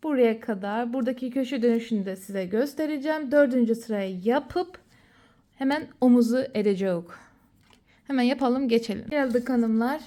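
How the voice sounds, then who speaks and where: A woman speaks at a moderate pace in a high voice with ordinary pitch variation. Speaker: crochet and sewing tutorial maker. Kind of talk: tutorial. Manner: casual, counting aloud while working.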